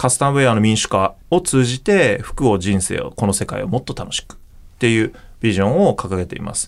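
This man has a normal speaking voice at a medium pitch, moving at a fairly quick pace. His intonation is lively and his loudness swings widely. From Japan, Okayama. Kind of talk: interview.

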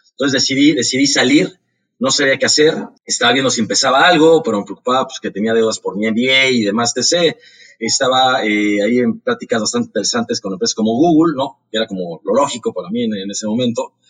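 A man talking at a very fast pace, in dry, close sound with no echo. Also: medium pitch for a man, ordinary pitch variation. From Mexico, Mexico City. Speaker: startup founder and CEO. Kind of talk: interview. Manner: halting, frequent word repetitions.

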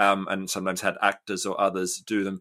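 A man with an Australian accent talks at a moderate pace in a bright, sharp tone on a very clean recording with a silent background. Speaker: public philosopher and author. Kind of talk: interview conversation.

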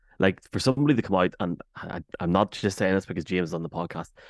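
In an Irish accent, a man talks at a very fast pace with a dry, close sound and no echo, on a very clean recording with a silent background. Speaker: podcast host. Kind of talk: casual chat. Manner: animated.

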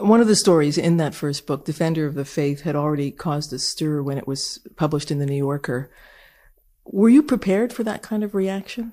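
A woman speaks at a fairly quick pace with lively intonation and a very deep, low pitch. Her tone is dark and mellow, on a very clean recording with a silent background. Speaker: radio interviewer. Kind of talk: interview.

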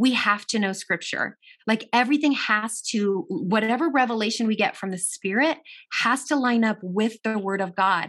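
In a normal speaking voice, a woman talks at a moderate pace with a fairly high pitch and ordinary pitch variation, on a very clean recording with a silent background. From US, child of Italian and Argentine immigrants. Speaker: minister and personal trainer, author. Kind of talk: casual interview.

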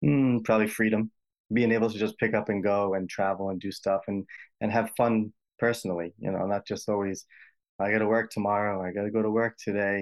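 Speaking with an American accent, a man talks at a fairly quick pace in a fairly low pitch with monotone, flat intonation. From US Northeast, Rhode Island. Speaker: healthcare imaging worker. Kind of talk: advice call-in conversation.

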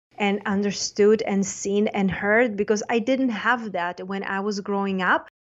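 Speaking with a Czech accent, a woman of medium pitch keeps a fairly slow pace and fairly even intonation. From Czech Republic. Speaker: life coach. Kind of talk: interview podcast.

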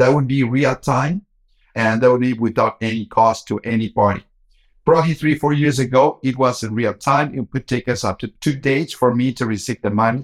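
An ordinary speaking voice from a man at medium pitch, with fairly even intonation and a moderate pace, sounds dry and close with no echo. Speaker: bank executive. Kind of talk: interview.

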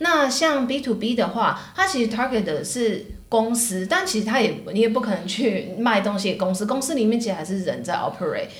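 Talking at a fairly quick pace with hardly any pauses, a woman uses lively intonation and a fairly high pitch, with noticeable background noise and audible room echo. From Taiwan (Taipei). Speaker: tech marketing professional. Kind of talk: casual interview chat.

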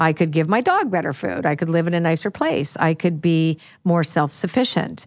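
Speaking at a moderate pace with a Canadian accent, a woman has a plain, everyday voice at fairly low pitch, ordinary pitch variation and very even loudness, in a very clean recording with a silent background. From Canada. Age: 60s. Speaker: podcast host and psychic reader. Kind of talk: casual chat.

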